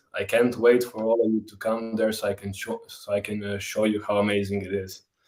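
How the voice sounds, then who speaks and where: On a very clean recording with a silent background, a man speaks in a Zagreb accent with monotone, flat intonation. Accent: Zagreb accent in Croatian. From Croatia, Zagreb. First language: Croatian. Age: 20s. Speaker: tour guide. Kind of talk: casual livestream chat.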